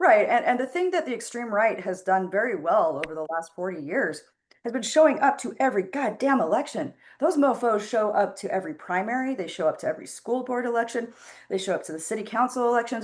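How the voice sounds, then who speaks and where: Very fast and with very wide pitch swings, a woman speaks at a fairly high pitch against a quiet background. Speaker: political activist. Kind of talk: casual chat. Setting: video call. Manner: loud, impassioned.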